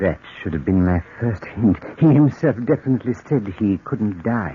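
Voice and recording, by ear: A man's put-on character voice, fairly low in pitch with a husky, rough edge, big pitch swings and a moderate pace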